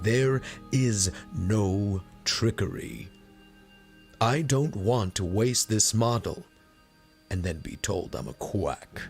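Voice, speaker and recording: A man's put-on character voice at medium pitch, with very wide pitch swings and clear music in the background. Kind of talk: audiobook reading.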